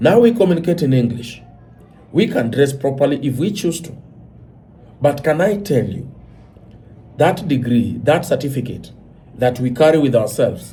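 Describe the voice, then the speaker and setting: A man speaks at a moderate pace in a fairly high pitch, with a dark, mellow, somewhat breathy tone and lively intonation. Long, frequent pauses break up his speech, and audible room echo surrounds it. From Kenya. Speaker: commentator. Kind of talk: monologue commentary. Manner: animated.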